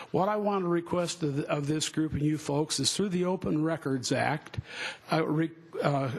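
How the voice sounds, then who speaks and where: Noticeable background noise sits behind a man speaking in an American accent. His pitch is fairly high, with ordinary pitch variation, at a moderate pace. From US West, Denver, Colorado. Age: 60s. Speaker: public commenter at city hearing. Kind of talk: public testimony at hearing. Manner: halting, with many fillers.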